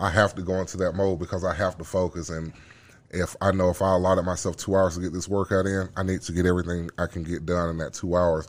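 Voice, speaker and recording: With a Southern US accent, a man talks at a very fast pace in a monotone, flat way with a very deep, low pitch, on a very clean recording with a silent background. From Birmingham, Alabama. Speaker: former football player and fighter. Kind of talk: casual chat.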